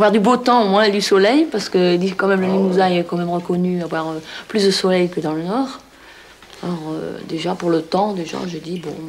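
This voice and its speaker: Woman at a medium pitch with ordinary pitch variation and a moderate pace, over noticeable background noise. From northern France, near Roubaix. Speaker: villager, mother of large family. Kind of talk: interview testimony. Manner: hesitant.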